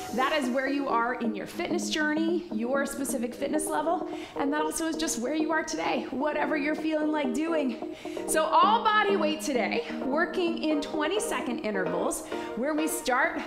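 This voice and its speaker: Clear background music behind a woman talking at a moderate pace. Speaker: fitness instructor. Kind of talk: workout instruction. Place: studio.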